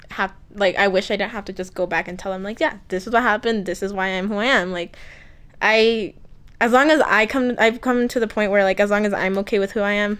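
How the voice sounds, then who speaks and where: At a fairly quick pace, a woman speaks in a medium pitch with fairly even intonation. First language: Spanish. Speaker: interviewee, college student. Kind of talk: casual interview.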